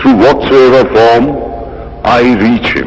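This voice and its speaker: A man talks over noticeable background noise. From India. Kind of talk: formal public address at a religious convention.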